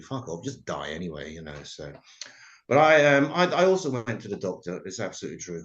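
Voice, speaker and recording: A man talks at a fairly quick pace. He speaks with an English accent. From England. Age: 50s. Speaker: comedy show host. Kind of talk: stand-up. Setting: video call.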